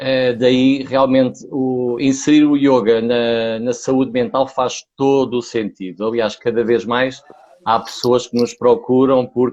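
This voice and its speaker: Fairly slow, fairly even speech in a European Portuguese accent. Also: man. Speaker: yoga teacher. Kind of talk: casual chat.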